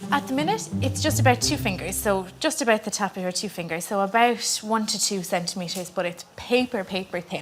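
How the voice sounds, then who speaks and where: A woman with a west of Ireland accent, medium pitch and lively intonation, at a fairly quick pace with hardly any pauses, music in the background. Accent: west of Ireland Irish. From Ireland, County Clare. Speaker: midwife. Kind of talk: casual chat.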